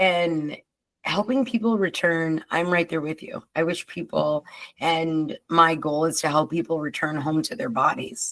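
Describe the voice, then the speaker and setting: With an ordinary speaking voice, a woman talks at a fairly slow pace, her fairly low pitch carried by lively intonation. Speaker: podcast host. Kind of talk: casual chat.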